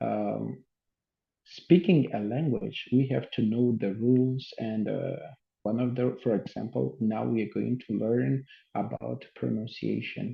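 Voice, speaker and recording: A man speaks with a Portuguese accent. His pace is very slow. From Mozambique. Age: 30s. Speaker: English teacher. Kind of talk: lecture. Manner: halting with many fillers.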